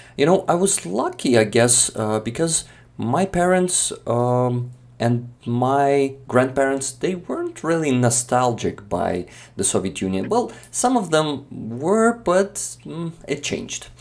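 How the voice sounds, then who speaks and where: A man with a Ukrainian accent speaks at a very slow pace and medium pitch, his pitch swinging very widely. The recording is very clean, with a silent background. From eastern Ukraine, Makiyivka (Donetsk region). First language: Ukrainian or Russian. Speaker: Ukrainian content creator. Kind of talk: casual conversation on a live stream. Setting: live stream. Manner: hesitant, many fillers.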